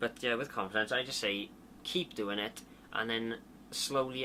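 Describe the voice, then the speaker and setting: A man talks at a moderate pace with medium pitch. His tone is bright and sharp. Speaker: YouTuber giving video tips. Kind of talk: casual advice vlog answering viewer questions. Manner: slurs and stutters; hesitant, many fillers.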